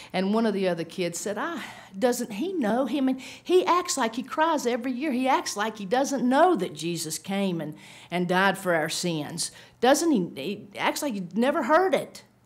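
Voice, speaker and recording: A woman at a moderate pace, her pitch swinging very widely. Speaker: speaker. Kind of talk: sermon-style talk with storytelling. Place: meeting room. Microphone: podium.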